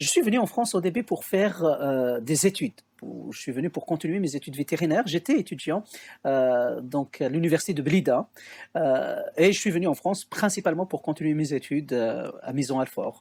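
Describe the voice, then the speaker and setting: In a very clean recording with a silent background and a dry, close sound with no echo, a man with a fairly high voice speaks at a moderate pace with lively intonation. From Algeria, Kabylie (Béjaïa region). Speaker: theologian and researcher. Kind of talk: podcast interview testimony. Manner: hesitant, many filler sounds.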